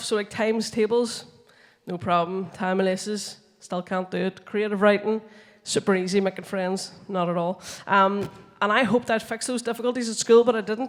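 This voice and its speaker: With music in the background, a woman in a Northern Irish accent talks at a moderate pace and medium pitch with fairly even intonation. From Northern Ireland. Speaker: comedian and science communicator. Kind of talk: stand-up comedy talk on stage. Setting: conference stage.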